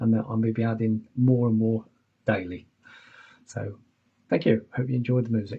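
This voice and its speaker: Somewhat breathy and medium in pitch, a man with an English accent speaks with ordinary pitch variation. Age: 60s. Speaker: keyboard player and mobile DJ. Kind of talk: casual chat. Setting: home studio live stream. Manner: casual, hesitant with fillers.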